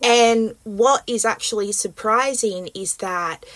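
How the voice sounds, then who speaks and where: On a very clean recording with a silent background, a woman with an Australian accent speaks with ordinary pitch variation. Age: 20s. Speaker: podcast host. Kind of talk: interview.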